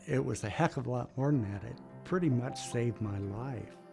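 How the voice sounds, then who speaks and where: A man's medium-pitched voice is heard with music in the background. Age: 70s. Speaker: sled dog musher. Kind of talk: patient testimonial interview answer.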